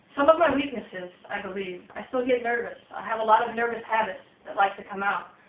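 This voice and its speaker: Noticeable background noise beneath a woman speaking in a fairly high register. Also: ordinary pitch variation, fairly quick pace, big swings in loudness. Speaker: college student and Navy veteran. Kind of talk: class speech. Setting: small audience. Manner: loud.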